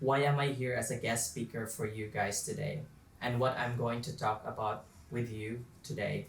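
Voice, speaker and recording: In a room with audible echo, a man talks at a moderate pace in a medium-pitched, somewhat breathy voice with fairly even intonation. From Philippines, Southern Leyte. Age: 20s. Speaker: young filmmaker and guest speaker. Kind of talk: motivational talk. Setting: virtual event video call.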